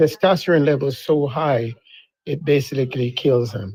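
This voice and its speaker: This man has a fairly high pitch with ordinary pitch variation. His pace is moderate. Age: 60s. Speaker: listener participant. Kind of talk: casual chat.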